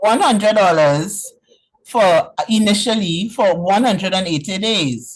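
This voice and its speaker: A woman with lively intonation speaks at a medium pitch and a very slow pace. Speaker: webinar participant asking a question. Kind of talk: question to presenter.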